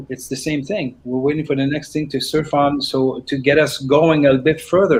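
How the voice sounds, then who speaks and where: This man has an ordinary speaking voice with a fairly high pitch. He talks at a fairly slow pace. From Canada. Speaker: singer-songwriter. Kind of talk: casual interview.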